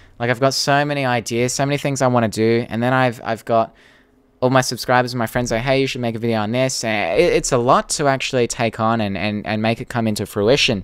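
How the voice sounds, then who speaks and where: With an Australian accent, a man of medium pitch talks at a very fast pace and with fairly even intonation in a very clean recording with a silent background. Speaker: YouTuber and podcast host. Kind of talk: live stream Q&A. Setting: live stream. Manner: casual, hesitant with fillers.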